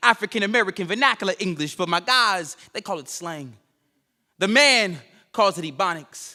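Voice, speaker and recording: In a raised, projected voice with a bright, sharp tone, the speaker goes at a fairly quick pace with lively intonation on a very clean recording with a silent background. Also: man. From Chicago South Side. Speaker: spoken word poet. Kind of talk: spoken word performance. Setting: stage with audience. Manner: rhythmic, emphatic.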